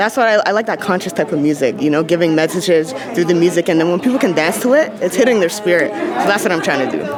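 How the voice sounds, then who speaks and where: A woman with a fairly low pitch talks at a very fast pace in an energetic tone, her intonation lively and her loudness very even. Crowd noise sits in the background, and the room echo is audible. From Barbados. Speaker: rapper and spoken word poet. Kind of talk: interview.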